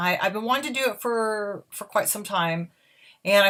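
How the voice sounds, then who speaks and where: On a very clean recording with a silent background, a woman with an ordinary speaking voice talks at a fairly quick pace with ordinary pitch variation. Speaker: audiobook narrator. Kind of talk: casual talk to camera.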